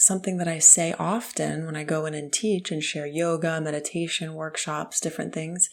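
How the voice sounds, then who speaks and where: The woman is soft-spoken, her very deep, low voice staying monotone and flat. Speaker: spiritual podcast host. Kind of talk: late night mystical chat. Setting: parents' house in the country.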